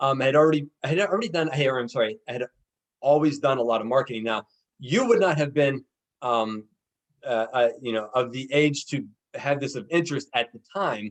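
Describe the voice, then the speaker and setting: The speaker has an American accent and talks at a fairly quick pace. Pitch varies in an ordinary way. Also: man, medium pitch for a man. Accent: Pittsburgh accent, noticed by outsiders. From western Pennsylvania (Pittsburgh area). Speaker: podcast host, networker. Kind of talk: casual interview. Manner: halting, many repetitions and fillers.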